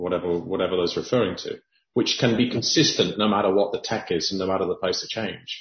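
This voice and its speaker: A man with a fairly low pitch talks at a very fast pace. His voice is somewhat breathy, and his intonation stays fairly even. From Cayman Islands. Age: 50s. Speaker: podcast host. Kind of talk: interview.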